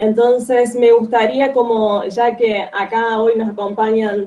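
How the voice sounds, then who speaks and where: A fairly high-pitched woman at a very slow pace with fairly even intonation. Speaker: guest speaker on a book. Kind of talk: online reading group talk.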